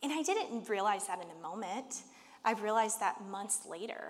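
A woman with a medium pitch talks at a moderate pace amid audible room echo. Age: 30s. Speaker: church leader preaching. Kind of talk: sermon.

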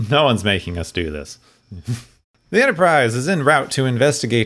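A man's voice swings very widely in pitch. It also has vocal fry. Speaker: podcast host. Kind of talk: casual chat.

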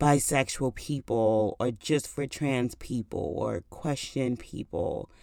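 Very slowly and in a very deep, low pitch, a woman with a dark, mellow tone and ordinary pitch variation speaks in a very clean recording with a silent background. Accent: American. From New York. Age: 30s. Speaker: podcast host. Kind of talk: solo podcast monologue. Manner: casual, laughing often.

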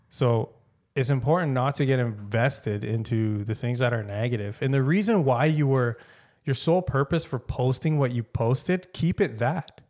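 In a Canadian accent, a man uses an ordinary speaking voice at medium pitch with ordinary pitch variation and a moderate pace, on a very clean recording with a silent background. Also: very even loudness. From Canada. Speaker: podcast co-host. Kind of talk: casual chat.

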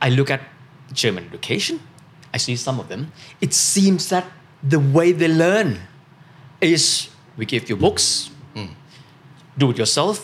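A man speaks in a Thai accent at a fairly high pitch, with vocal fry and lively intonation. His pace is moderate, broken by long, frequent pauses. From Thailand. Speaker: finance commentator and podcast host. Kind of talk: casual panel discussion.

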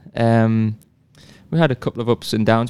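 A man of medium pitch speaks with a Northeast English accent. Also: dry, close sound with no echo. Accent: English (northeast), non-American. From northeast England, near Sunderland. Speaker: professional soccer player. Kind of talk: casual interview chat.

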